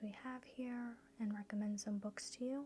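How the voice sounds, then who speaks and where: Soft-spoken and gentle in tone, a woman with a fairly high pitch talks at a fairly slow pace over noticeable background noise. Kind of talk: ASMR bookstore role play. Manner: soft-spoken, gentle.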